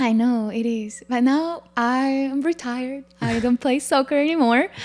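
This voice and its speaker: A woman speaks in a Spanish accent. Her pitch is high and varies an ordinary amount. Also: moderate pace. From Paraguay. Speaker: former college goalkeeper and bank worker. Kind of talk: podcast interview.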